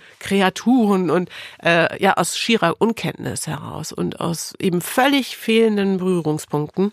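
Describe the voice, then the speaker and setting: An ordinary speaking voice, a woman's fairly low pitch with ordinary variation, moderate pace, and a dry, close sound with no echo. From Lower Saxony, Osnabrück. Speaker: radio presenter. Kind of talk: personal testimony in interview. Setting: studio.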